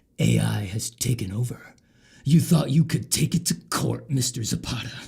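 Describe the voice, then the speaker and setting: The pace is moderate. It is a put-on character voice. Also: man, medium pitch for a man. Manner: mocking, put-on.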